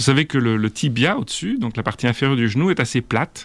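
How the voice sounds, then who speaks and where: Speaking at a fairly quick pace, a man has a normal speaking voice at a medium pitch. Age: 50s. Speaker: orthopedic surgeon. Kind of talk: interview.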